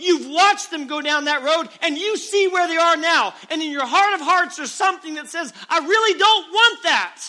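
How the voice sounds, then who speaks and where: A man uses a raised, projected voice at an extremely high pitch with ordinary pitch variation. He keeps a moderate pace with hardly any pauses. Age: 30s. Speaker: preacher. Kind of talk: revival sermon to young people, preacher in full flow. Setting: church revival service. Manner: fervent, rising exhortation with hammering repeated calls; earnest, urgent and direct address to the crowd.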